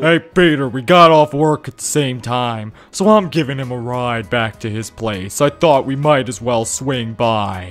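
A man's gruff, put-on character voice at a medium pitch, moderate in pace with hardly any pauses, over faint music in the background. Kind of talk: comic overacting. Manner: gruff, aggressive.

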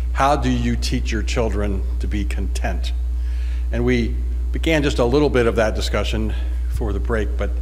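A man's very deep, low voice at a moderate pace, monotone and flat, over light background noise. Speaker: conference presenter. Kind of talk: lecture. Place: hall. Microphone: podium.

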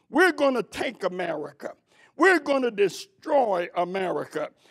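Over a quiet background, a man with an extremely high pitch speaks at a fairly slow pace. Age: old. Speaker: preacher. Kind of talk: sermon. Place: church. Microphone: podium.

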